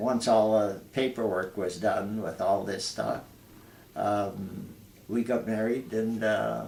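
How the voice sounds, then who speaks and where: With an Ontario accent, a man speaks at a very slow pace in a fairly low voice with vocal fry and fairly even intonation. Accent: Canadian (Ontario). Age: 80s+. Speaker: retired air force veteran. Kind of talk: interview. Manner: halting.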